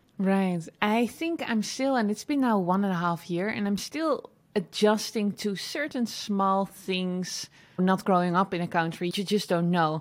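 A woman with a Dutch accent speaks at a medium pitch and a fairly slow pace, her tone enthusiastic and her intonation lively. The recording is very clean, with a silent background. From Netherlands. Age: 30s. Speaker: online entrepreneur and educator. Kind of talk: interview.

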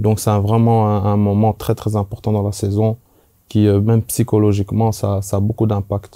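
Dark, mellow tone from a man at fairly low pitch, monotone and flat, moderate pace, very even loudness. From Belgium. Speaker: former professional footballer. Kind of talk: casual chat.

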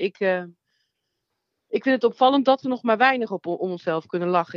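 Fairly quick pace, a normal speaking voice. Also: woman. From Netherlands, North Brabant (Nuland). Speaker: comedian and theatre maker. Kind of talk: interview. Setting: phone call.

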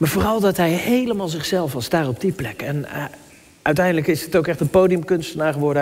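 Noticeable background noise runs through this clip. Over it, a man talks very fast, his pitch varying in an ordinary way. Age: 30s. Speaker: pastor. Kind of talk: sermon. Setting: church. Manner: halting.

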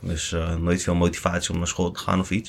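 A man talks at a very fast pace. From Netherlands, Lelystad. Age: 20s. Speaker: security company director. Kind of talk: interview.

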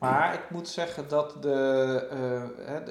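A man with fairly even intonation, plus noticeable background noise and audible room echo. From Netherlands, Gelderland river area (Varik). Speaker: archaeologist. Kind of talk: casual interview. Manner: hesitant, many fillers.

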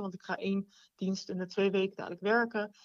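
Speaking at a moderate pace, a woman keeps a medium pitch in a monotone, flat intonation. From Rotterdam, Netherlands. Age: 20s. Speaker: nurse. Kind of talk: casual chat.

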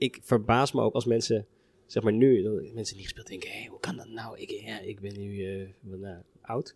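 A man with fairly even intonation and a medium pitch talks in a plain, everyday voice. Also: moderate pace, big swings in loudness. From Netherlands, Harderwijk (Veluwe). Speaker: orchestra musician. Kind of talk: casual chat. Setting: brasserie.

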